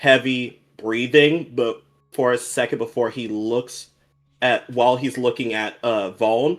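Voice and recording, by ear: The speaker is reading aloud in a natural voice.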